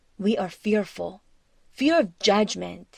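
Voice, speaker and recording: A woman speaks at a very slow pace with a fairly high pitch. The recording is very clean and dry, close with no echo, over a silent background. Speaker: cross-cultural coach. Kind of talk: podcast narration.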